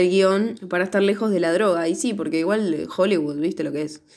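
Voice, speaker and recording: A woman with a Rioplatense accent. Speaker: podcast co-host, film reviewer. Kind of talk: casual chat.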